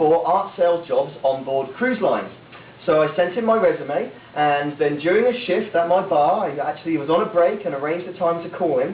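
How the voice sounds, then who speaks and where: A man talks at a fairly quick pace with an English accent and a high pitch. Audible room echo and noticeable background noise surround his voice. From England, small town. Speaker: motivational speaker, former cruise ship worker. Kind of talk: speech to audience. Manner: animated.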